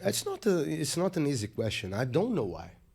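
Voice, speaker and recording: With a Portuguese accent, a man speaks at a fairly high pitch in a dark, mellow tone, his pitch swinging very widely. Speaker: musician and poet. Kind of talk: interview.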